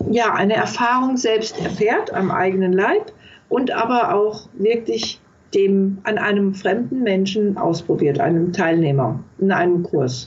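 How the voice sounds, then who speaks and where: A woman talks at a very slow pace with very wide pitch swings. Noticeable background noise is present. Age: 60s. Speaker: palliative care nurse and author. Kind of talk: interview.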